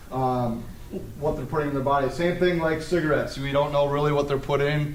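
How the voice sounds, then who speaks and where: The voice is monotone and flat in intonation, with audible room echo and noticeable background noise. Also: man. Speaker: police officer. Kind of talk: presentation talk. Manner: loud.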